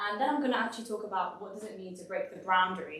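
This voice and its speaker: A woman's fairly high voice in a London accent, with noticeable background noise and audible room echo. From London, England. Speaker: design consultant and speaker. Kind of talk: presentation talk. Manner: casual, lots of fillers.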